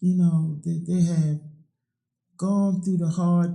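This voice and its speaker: A high-pitched man with a Virginia accent, a dark, mellow tone and monotone, flat intonation. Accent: US South, Virginia. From Virginia, Middlesex County. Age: 60s. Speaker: oral history interviewee. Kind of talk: oral history interview.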